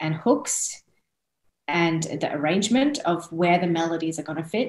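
Spoken at a moderate pace with an Australian accent, the voice carries audible room echo. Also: woman. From born in India, raised in Australia from age 5. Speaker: singer-songwriter, interview guest. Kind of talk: interview answer. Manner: casual, chatty. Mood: warm, friendly, animated. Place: home room. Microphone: video call.

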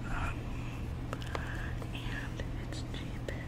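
Loud background noise around a woman's dry, echo-free voice. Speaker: ASMR creator. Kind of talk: ASMR whisper ramble. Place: home room. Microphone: studio mic.

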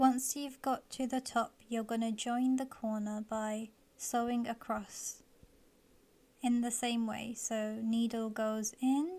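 Soft-spoken and very slow, a woman talks at a fairly high pitch with a dark, mellow tone and fairly even intonation. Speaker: embroidery and DIY craft tutorial maker. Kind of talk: soft-spoken instructional ASMR tutorial.

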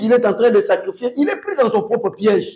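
A man talks with an extremely high pitch. The background is quiet. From DR Congo, North Kivu (Rutshuru); North Kivu, DR Congo. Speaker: political commentator. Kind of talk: political talk show debate; political commentary in interview. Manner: animated. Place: studio. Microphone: lapel.

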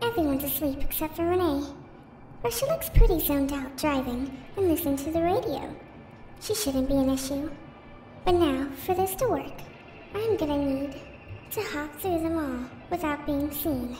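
With clear background noise behind her, a woman speaks in a high pitch at a moderate pace, using ordinary pitch variation and long, frequent pauses. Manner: chirpy, scheming, falsely caring.

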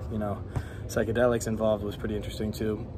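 With music in the background, a man talks at a fairly low pitch. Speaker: fitness vlogger. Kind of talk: casual vlog chat. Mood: relaxed, reflective, a bit dreamy. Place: gym. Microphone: phone near.

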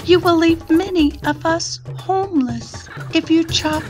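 Over clear background music, a woman performs a put-on character voice, high and squeaky. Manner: piping, pleading.

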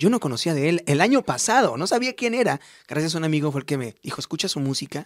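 Talking at a very fast pace with lively intonation, a man speaks in a Mexican accent against a quiet background. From Mexico, Morelia, Michoacán; Michoacán, Mexico. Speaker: singer; interviewee. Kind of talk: radio interview. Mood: warm, grateful. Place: studio. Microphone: studio mic.

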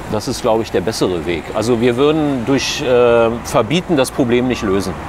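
Over noticeable background noise, a man talks at a moderate pace with ordinary pitch variation in a dry sound with no echo. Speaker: local politician. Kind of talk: interview answer. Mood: calm, earnest. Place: street. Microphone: lapel.

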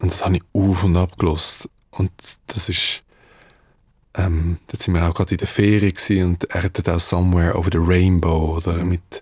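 A man's very deep, low voice, somewhat breathy and monotone, at a moderate pace, with a dry, echo-free sound and a quiet background. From Switzerland (Davos), Dutch parents; Switzerland. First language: Dutch (speaking German). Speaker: musician; guest. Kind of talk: interview. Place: studio. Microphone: studio mic.

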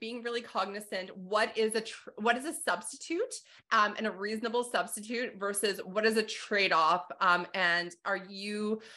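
A woman with a Canadian accent speaks in a bright, sharp tone with fairly even intonation. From Calgary, Alberta; Alberta. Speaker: accounting instructor and podcast host; accounting instructor, podcast host. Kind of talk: interview conversation. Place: home room. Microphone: video call.

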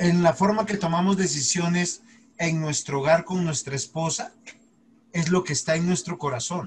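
A man talks at a moderate pace with ordinary pitch variation. There is light background noise. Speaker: pastor teaching a Bible class. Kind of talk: lecture. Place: home room. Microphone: video call.

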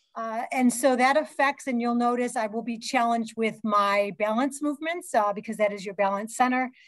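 In a quiet background, a woman speaks at a fairly quick pace with hardly any pauses and ordinary pitch variation. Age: 60s. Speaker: fitness educator and hospital fitness director; fitness educator. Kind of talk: conference presentation. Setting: video call. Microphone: video call.

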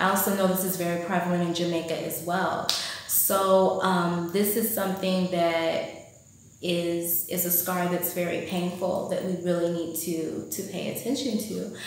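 With an American accent, a woman speaks at a moderate pace in a fairly low pitch and monotone, flat intonation. Strong room echo surrounds her voice, along with light background noise. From United States. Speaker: vlogger. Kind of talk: vlog monologue. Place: home room. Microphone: phone near.

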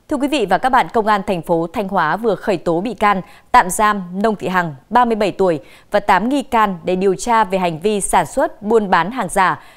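A woman's medium-pitched voice with lively intonation, at a moderate pace against a quiet background. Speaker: news anchor. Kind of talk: news reading. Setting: studio. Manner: formal. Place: studio. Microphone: lapel.

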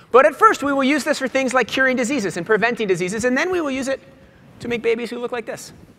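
In an American accent, a man speaks in a raised, projected voice at a very fast pace, his pitch extremely high and his tone bright and sharp. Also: ordinary pitch variation. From US Northeast (Boston). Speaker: magazine editor, keynote speaker. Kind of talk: keynote speech. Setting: stage with audience. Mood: light, joking. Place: stage. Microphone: lapel.

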